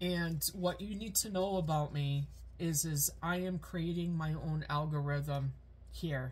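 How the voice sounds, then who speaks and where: The speaker talks very slowly in a somewhat breathy voice with fairly even intonation. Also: woman. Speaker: spiritual content creator. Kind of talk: personal spiritual vlog message. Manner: halting, many fillers.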